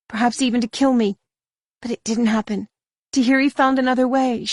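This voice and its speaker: A female-sounding voice puts on a croaky character voice at a high pitch and a fairly quick pace against a quiet background. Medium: read story.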